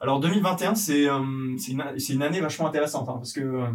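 Over noticeable background noise, a man speaks at a fairly high pitch and a fairly quick pace with ordinary pitch variation. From France, Yvelines. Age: 30s. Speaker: entrepreneur, company co-founder. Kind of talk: casual interview. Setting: coworking space in Paris. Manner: halting, many fillers and repetitions.

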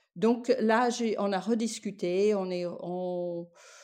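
Her tone is dark and mellow. This woman keeps a fairly even intonation. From United States. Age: 60s. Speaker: guesthouse owner, music industry professional. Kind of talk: interview. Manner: halting, frequent repetitions.

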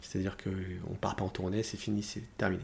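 A man's somewhat breathy voice. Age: 40s. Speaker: musical theatre singer. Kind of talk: casual chat. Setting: at home.

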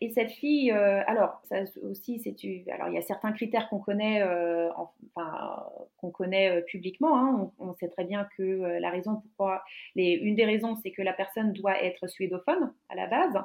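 Normal rise and fall marks the pitch. The speed stays moderate. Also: woman, medium pitch for a woman. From Finland. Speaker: graduate student interviewee. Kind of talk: casual interview. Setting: online call from home. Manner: halting, many fillers and repetitions.

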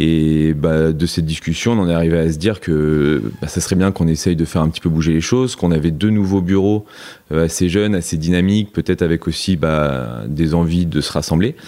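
A man with a very deep, low pitch and a dark, mellow tone speaks at a fairly quick pace. His pitch moves in an ordinary way. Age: 30s. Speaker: tennis coach. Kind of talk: interview.

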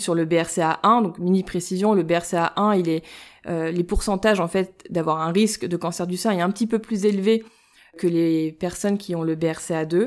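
Fairly low-pitched woman's voice with fairly even intonation, in a very clean recording over a silent background. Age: 30s. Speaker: breast cancer gene carrier sharing her story. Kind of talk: personal testimony interview. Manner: hesitant, many fillers.

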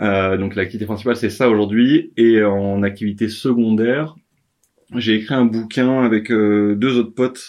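This man has a fairly low pitch and fairly even intonation. He speaks at a fairly slow pace. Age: 30s. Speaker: author, entrepreneur. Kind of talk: interview. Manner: hesitant, many fillers.

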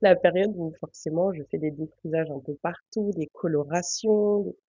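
A woman with a plain, everyday voice speaks at a fairly low pitch and a moderate pace. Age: 20s. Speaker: laboratory worker. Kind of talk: casual chat.

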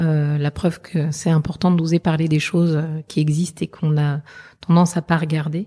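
Her very deep, low pitch and dark, mellow tone stay monotone and flat as this somewhat breathy woman talks at a moderate pace with very even loudness. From southern France. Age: 40s. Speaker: veterinarian. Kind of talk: interview. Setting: meeting room in Paris.

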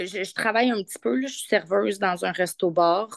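The speaker has a Quebec accent and talks at a fairly slow pace. The sound is dry and close, with no echo. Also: woman. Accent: Québécois French. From Quebec, Victoriaville. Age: 30s. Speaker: caregiver mother. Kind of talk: casual interview chat. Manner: halting, frequent repetitions.

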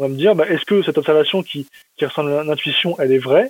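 Fairly high in pitch, a man speaks very fast. His intonation stays fairly even. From eastern France, Metz. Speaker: machine learning researcher in finance. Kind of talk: interview.

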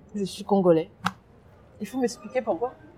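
Against noticeable background noise, a woman talks at a medium pitch with lively intonation. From France, Seine-et-Marne (left DR Congo at 7). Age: 20s. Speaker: youth education mentor. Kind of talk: interview testimony. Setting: outdoors.

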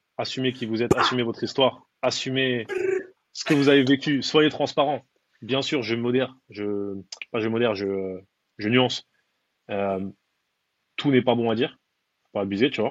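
Here a man talks at a moderate pace with a medium pitch. His pitch varies in an ordinary way, and he leaves long, frequent pauses. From Paris, Belleville (19th arrondissement). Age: 30s. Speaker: personal branding consultant. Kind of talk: casual interview.

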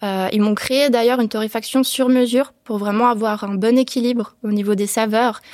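Speaking with hardly any pauses, a woman uses a fairly high pitch in a monotone, flat intonation. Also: moderate pace. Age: 20s. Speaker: entrepreneur. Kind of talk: interview. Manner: hesitant, many fillers.

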